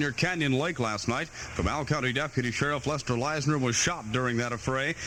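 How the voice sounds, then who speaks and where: A man with a normal speaking voice talks at fairly high pitch. He hardly pauses, and his loudness stays very even. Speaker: radio news anchor. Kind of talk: radio newscast. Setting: AM radio studio.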